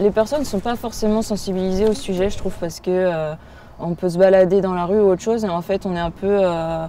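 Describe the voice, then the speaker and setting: Her tone dark and mellow, a woman speaks fairly quickly at a medium pitch. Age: 20s. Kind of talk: interview testimony. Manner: hesitant, many fillers.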